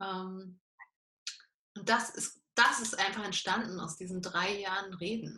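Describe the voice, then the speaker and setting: This woman talks at a very slow pace with long, frequent pauses, a medium pitch, monotone, flat intonation and big swings in loudness. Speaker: life coach. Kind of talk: interview. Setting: video call.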